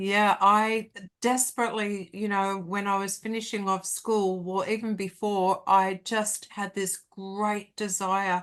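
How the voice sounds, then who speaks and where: Against a quiet background, a woman with an Australian accent speaks fairly slowly at medium pitch, in a flat monotone. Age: 60s. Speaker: hypnotherapist and life coach. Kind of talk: casual interview chat.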